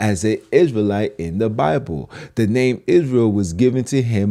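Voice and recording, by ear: The passage is read aloud in a natural voice.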